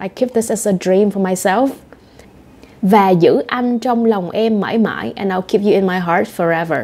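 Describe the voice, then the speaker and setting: At a fairly slow pace, a woman speaks in a Vietnamese accent with ordinary pitch variation. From Southern Vietnam. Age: 20s. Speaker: language teacher. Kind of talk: language lesson talk to camera. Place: home room.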